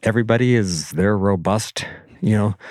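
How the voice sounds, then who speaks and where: In a very clean recording with a silent background, a man with an American accent speaks at a fairly low pitch with fairly even intonation. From US Pacific Northwest (central Oregon). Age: 60s. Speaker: rock climber. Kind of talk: interview. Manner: halting, many repetitions.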